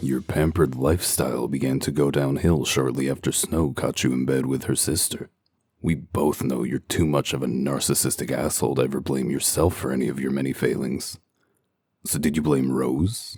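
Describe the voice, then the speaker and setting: Using a put-on character voice, a man speaks at a very deep, low pitch. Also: moderate pace. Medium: dub.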